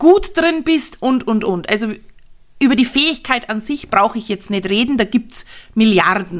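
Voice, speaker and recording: A woman speaks at a fairly slow pace in a fairly high voice, her tone animated and her pitch swinging very widely. The recording is very clean, with a silent background. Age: 40s. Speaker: network marketing coach and podcaster. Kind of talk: solo podcast monologue.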